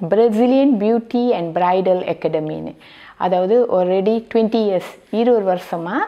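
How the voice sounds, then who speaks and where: In a quiet background, a woman talks at medium pitch with ordinary pitch variation and an ordinary speaking voice. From Malaysia, Seremban; Malaysia. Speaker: beauty academy founder. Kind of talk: interview testimony. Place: home room.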